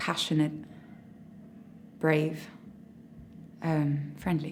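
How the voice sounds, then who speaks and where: A woman speaks in a very deep, low pitch with a flat, monotone delivery and a somewhat breathy voice. Audible echo from the room surrounds her. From France. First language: French. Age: 20s. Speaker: drama school graduate actor. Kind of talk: interview. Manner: halting.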